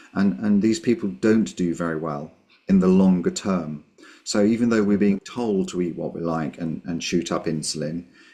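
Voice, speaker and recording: Speaking in a British accent at a very deep, low pitch, a man with a dark, mellow tone keeps a moderate pace and ordinary pitch variation over a quiet background. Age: 60s. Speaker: GP doctor with type one diabetes. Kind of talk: radio interview. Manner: hesitant, many repetitions.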